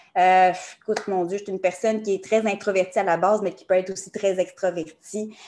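Her tone dark and mellow, a woman speaks at a fairly quick pace with a medium pitch, monotone, flat intonation and big swings in loudness. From Quebec, Montreal area. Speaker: numerologist. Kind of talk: podcast interview.

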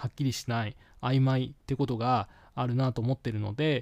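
Recorded very cleanly with a silent background and a dry, close sound with no echo, a man talks at a moderate pace and medium pitch. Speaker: podcast host, English learner. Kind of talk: solo podcast monologue. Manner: hesitant, many fillers.

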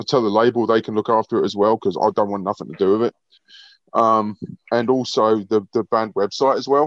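In a British accent, a man speaks at a fairly quick pace, the sound dry and close with no echo against a quiet background. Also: medium pitch for a man, fairly even intonation. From Britain. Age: 50s. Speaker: heavy metal guitarist. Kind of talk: interview.

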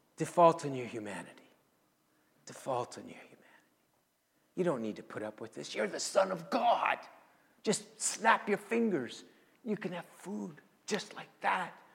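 A raspy, put-on character voice at a middle pitch, moderate in pace, with very wide pitch swings and long, frequent pauses. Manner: taunting.

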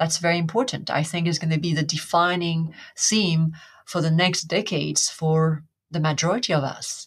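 Fairly even intonation from a somewhat breathy woman on a very clean recording with a silent background. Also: fairly low pitch for a woman, moderate pace. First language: French. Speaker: hypnotherapist. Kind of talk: interview.

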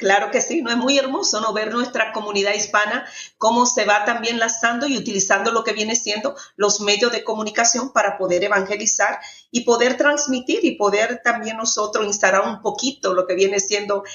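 With ordinary pitch variation and a moderate pace, a woman speaks in a plain, everyday voice. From Dominican Republic. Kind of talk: faith testimony interview.

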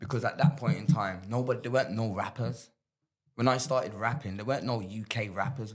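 Somewhat breathy and at a medium pitch, a man talks at a fairly quick pace with ordinary pitch variation. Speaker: rapper and former gang member. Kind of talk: casual interview. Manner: animated.

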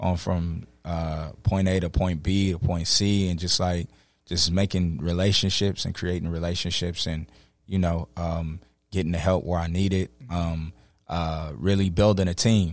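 A speaker with an American accent talks at a fairly slow pace in a monotone, flat way. The recording is very clean, with a silent background. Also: man, very deep, low pitch for a man. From Los Angeles. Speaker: rapper and poet. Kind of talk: casual chat. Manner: halting, many fillers.

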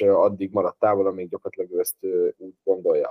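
A man at a moderate pace. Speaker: fantasy football player. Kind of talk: casual chat.

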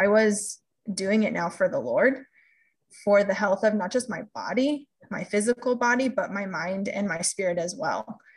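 A woman speaks with an American accent at a medium pitch. Her voice is somewhat breathy, with ordinary pitch variation. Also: moderate pace. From California. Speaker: health coach. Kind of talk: podcast interview.

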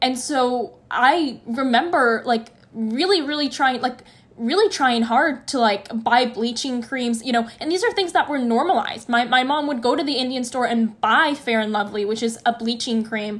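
Barely pausing, a woman with a high pitch talks at a moderate pace with ordinary pitch variation. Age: young. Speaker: university student and activist. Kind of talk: interview.

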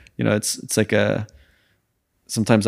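Vocal fry comes through on a very clean recording with a silent background. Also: man. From France and Sweden. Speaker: YouTuber, channel co-creator. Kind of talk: casual chat.

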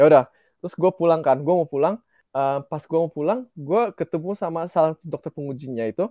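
A man with a fairly high pitch talks very fast, his pitch moving in an ordinary way. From Indonesia, partly raised in Germany. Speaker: radiology resident doctor. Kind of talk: casual interview chat.

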